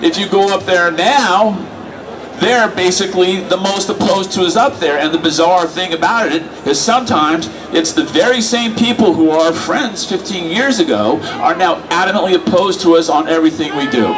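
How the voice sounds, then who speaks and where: A man's high voice with lively intonation, at a fairly quick pace, over noticeable background noise. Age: 60s. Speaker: activist speaker. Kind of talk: rally speech. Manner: conversational, rhetorical 'right?'.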